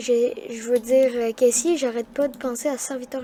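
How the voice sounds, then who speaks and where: A woman speaks loudly in a high voice with fairly even intonation. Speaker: gaming youtuber. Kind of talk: gameplay commentary. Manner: halting.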